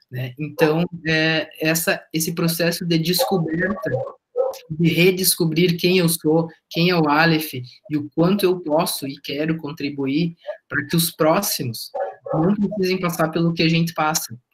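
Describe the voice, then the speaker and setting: A man's high voice at a fairly slow pace, with fairly even intonation. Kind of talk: testimony.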